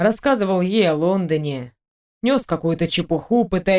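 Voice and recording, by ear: Against a quiet background, the recording captures reading aloud in a natural voice.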